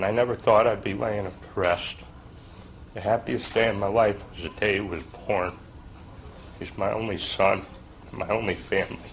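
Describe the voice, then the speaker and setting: Noticeable background noise surrounds a man with a fairly low pitch and fairly even intonation. He keeps a moderate pace but takes long, frequent pauses. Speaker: father of a shooting victim. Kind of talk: public hearing testimony.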